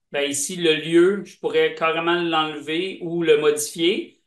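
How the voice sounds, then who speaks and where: A man speaks at a fairly slow pace with a Quebec accent. His voice is high-pitched and his intonation fairly even. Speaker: software presenter. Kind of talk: product demo.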